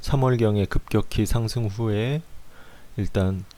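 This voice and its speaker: A man's dark, mellow voice moves at a very slow pace. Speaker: stock chart analyst. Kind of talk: market analysis commentary. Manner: halting, stumbling.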